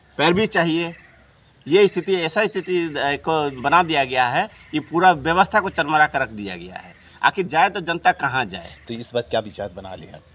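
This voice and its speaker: Using vocal fry and a bright, sharp tone, a man with a fairly high pitch speaks at a moderate pace, with very wide pitch swings and big shifts in loudness. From Jharkhand, India (Chandil); Jharkhand. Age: 40s. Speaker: independent election candidate; election candidate. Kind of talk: press statement. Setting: press conference. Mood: critical, earnest political complaint. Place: street.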